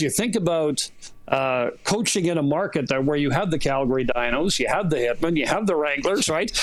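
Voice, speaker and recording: Fairly high in pitch, a man with an unremarkable speaking voice talks at a moderate pace with lively intonation. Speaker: play-by-play sports broadcaster. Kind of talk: radio interview answer.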